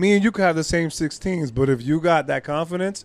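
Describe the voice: A man speaks at a fairly quick pace, his fairly high pitch moving with ordinary variation.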